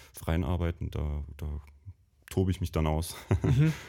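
At a fairly slow pace, a man with a very deep, low pitch and a dark, mellow tone speaks with vocal fry and ordinary pitch variation. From Bavarian Lake Constance area, near Lindau. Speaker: university alumnus, designer. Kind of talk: casual interview chat. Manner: hesitant, many fillers.

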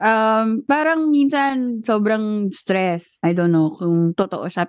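A woman speaks in a normal speaking voice, fairly high in pitch, with lively intonation against a quiet background. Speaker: podcast co-host. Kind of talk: casual chat.

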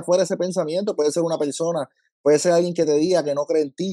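The man's voice has a dark, mellow tone and a dry, close sound with no echo. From Puerto Rico, Lajas. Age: 30s. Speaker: school counselor and ministry leader. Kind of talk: testimony.

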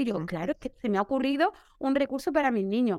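High-pitched woman's voice with very wide pitch swings and a very fast pace, dry and close with no echo. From Seville, Andalusia, Spain. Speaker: primary school teacher. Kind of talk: casual interview chat.

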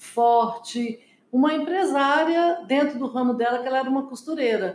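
A high-pitched woman's voice with lively intonation at a fairly slow pace. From Brazil, Minas Gerais (Belo Horizonte). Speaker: businesswoman, company co-founder. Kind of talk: interview.

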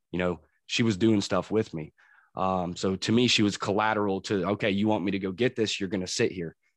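Against a quiet background, a man with an unremarkable speaking voice talks with fairly even intonation. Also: fairly low pitch for a man, fairly quick pace. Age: 30s. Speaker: crane operator in recovery. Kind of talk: casual interview, personal testimony.

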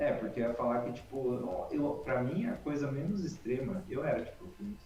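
Music plays in the background while a man talks with audible room echo. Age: 30s. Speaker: horse-focused content creator. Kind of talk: casual chat. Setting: online live stream.

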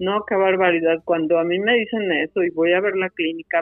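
A woman talks in a Mexican accent. Her voice is medium-pitched and her pace moderate. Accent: Mexican Spanish (Jalisco). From Mexico, Guadalajara, Jalisco. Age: 50s. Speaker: ultramarathon runner and speaker. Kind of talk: interview conversation.

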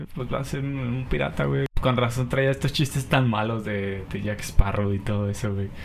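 Speaking with an unremarkable speaking voice, a man with fairly low pitch and lively intonation keeps a moderate pace with hardly any pauses. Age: 20s. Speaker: podcast host. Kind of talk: casual chat. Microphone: poor audio quality.

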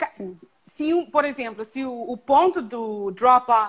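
With ordinary pitch variation, a woman's voice sits high in pitch. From Canada. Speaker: event planning professional. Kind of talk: live stream interview. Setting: video live stream.

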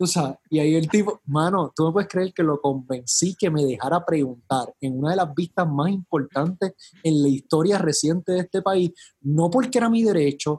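A man with an unremarkable speaking voice talks at a fairly quick pace in a fairly high pitch with lively intonation, and the sound is dry and close with no echo. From Puerto Rico, San Juan metro area. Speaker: politician, mayoral candidate. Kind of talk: casual interview.

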